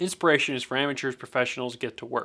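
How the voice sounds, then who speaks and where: A man talks at a fairly quick pace in a bright, sharp tone, his pitch varying in an ordinary way. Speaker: photography youtuber. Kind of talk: casual talk-to-camera commentary. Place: studio.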